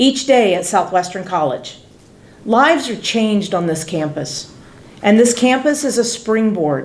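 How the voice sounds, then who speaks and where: A woman talks loudly at a moderate pace, with very wide pitch swings. Noticeable background noise and audible room echo fill the recording. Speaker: college department chair. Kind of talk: formal welcome speech.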